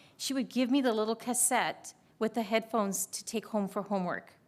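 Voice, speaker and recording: A woman with an American accent talks at a fairly quick pace in a fairly high voice. It is a plain, everyday voice with ordinary pitch variation. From US, Spanish-speaking family. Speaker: school district administrator. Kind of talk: committee meeting introductions.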